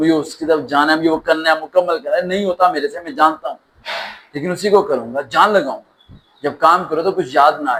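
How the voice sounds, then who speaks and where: In a passionate, intense tone, a man speaks at a fairly high pitch with ordinary pitch variation. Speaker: motivational speaker. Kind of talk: motivational speech. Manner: passionate, intense, emphatic.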